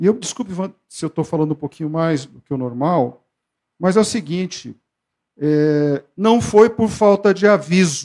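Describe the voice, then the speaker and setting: Over a quiet background, a man with a high-pitched voice and a dark, mellow tone speaks at a moderate pace, with lively intonation and big swings in loudness. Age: 60s. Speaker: tax auditor union leader. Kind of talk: union rally speech; meeting speech. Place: meeting room. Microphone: handheld.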